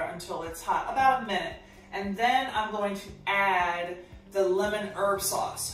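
Speaking at a fairly slow pace with ordinary pitch variation, a woman is heard with audible room echo and light background noise. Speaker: chef host. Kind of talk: cooking tutorial. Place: kitchen.

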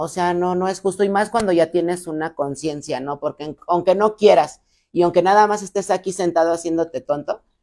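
With a dark, mellow tone, a woman speaks at a fairly low pitch and a moderate pace, with fairly even intonation and a quiet background. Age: 30s. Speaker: recovering alcoholic and rehab center owner; podcast guest. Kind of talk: testimony. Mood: earnest personal storytelling. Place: studio.

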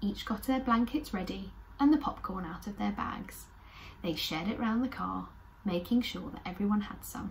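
Light background noise sits behind a woman who speaks at a moderate pace with lively intonation. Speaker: children's storyteller. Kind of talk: story reading to children. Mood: warm and cheerful. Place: home room.

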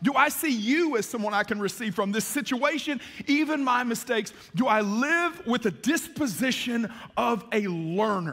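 A man speaks in a bright, sharp tone at a moderate pace. The background is quiet. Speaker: pastor. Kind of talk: sermon. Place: church.

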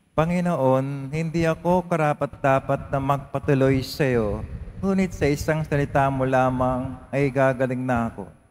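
This man's fairly high pitch varies in an ordinary way, with noticeable background noise behind him. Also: moderate pace. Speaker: lector and congregation leader at Mass. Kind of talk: liturgical reading and responses. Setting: church.

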